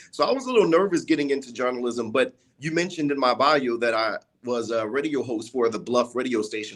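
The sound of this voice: A man with a southern Louisiana accent talks at a fairly quick pace, with a medium pitch and ordinary pitch variation. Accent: southern Louisiana, th sounds become d.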